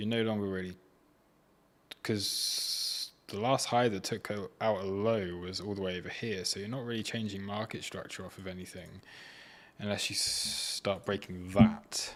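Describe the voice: At a moderate pace, the voice carries a fairly bright tone and fairly even intonation. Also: man, fairly low pitch for a man.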